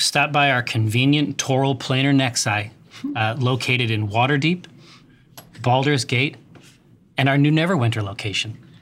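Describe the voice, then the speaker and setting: A man uses a put-on, robotic character voice at a medium pitch. He keeps a moderate pace, with long, frequent pauses. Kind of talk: advertising announcement. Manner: automated, robotic announcement.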